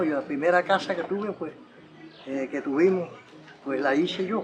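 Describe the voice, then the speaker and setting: A man speaks with a high pitch and ordinary pitch variation. Noticeable background noise runs behind him. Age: 80s+. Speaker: elderly local resident. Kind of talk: testimony. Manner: halting.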